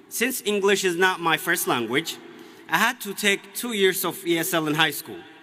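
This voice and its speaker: A man with an Ethiopian accent speaks in a high voice at a moderate pace. Music plays in the background. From Ethiopia, Oromia. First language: Oromo. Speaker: graduating student speaker. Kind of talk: commencement speech.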